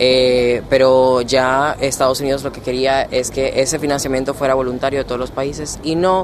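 The speech moves at a moderate pace with flat, monotone intonation against noticeable background noise. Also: man. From Dominican Republic. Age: 20s. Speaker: law student and junior negotiator. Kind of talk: interview. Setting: conference venue.

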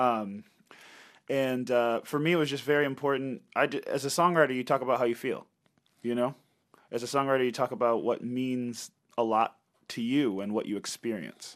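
Recorded very cleanly with a silent background, a man with a medium pitch speaks at a fairly slow pace, using fairly even intonation and long, frequent pauses. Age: 30s. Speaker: singer and guitarist. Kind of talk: interview. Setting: studio.

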